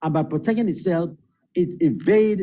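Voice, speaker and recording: A man's voice with vocal fry, a dark, mellow tone, fairly high pitch, ordinary pitch variation, and a moderate pace. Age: 70s. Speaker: spiritual teacher. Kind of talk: interview.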